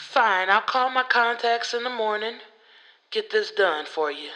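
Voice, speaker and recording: Doing a put-on character voice, a woman speaks at a moderate pace with a fairly high, raspy pitch and ordinary pitch variation. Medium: read story. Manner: curt, grumpy.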